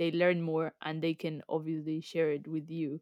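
Spoken with a Spanish accent at a moderate pace. The recording is very clean, with a silent background and a dry, close sound with no echo. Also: woman. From Colombia. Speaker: graduate engineer. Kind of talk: casual chat.

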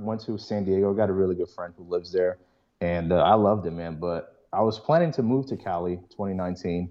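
A man's unremarkable speaking voice, fairly low in pitch, at a fairly quick pace with lively intonation. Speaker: biotech student. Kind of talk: casual chat.

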